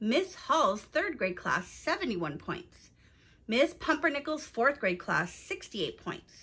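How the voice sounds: A woman uses a put-on character voice, fairly high-pitched with a bright, sharp tone and a slightly husky edge. She speaks slowly, with big pitch swings.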